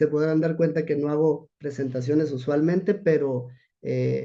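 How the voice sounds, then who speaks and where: A man with a fairly high pitch and a dark, mellow tone keeps his intonation fairly even. Audible room echo surrounds his voice. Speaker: rehabilitation physician. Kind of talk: lecture. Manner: halting.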